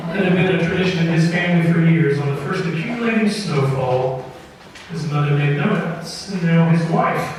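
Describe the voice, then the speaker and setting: Amid noticeable background noise, a man with a high voice talks at a moderate pace with ordinary pitch variation. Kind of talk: live radio storytelling, tall tale read to an audience. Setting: live performance in front of an audience in an opera house.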